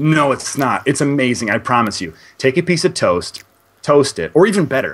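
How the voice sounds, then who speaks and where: Vocal fry runs through a man's fairly high-pitched voice at a moderate pace. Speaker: indie game reviewer. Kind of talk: interview answer. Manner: chatty.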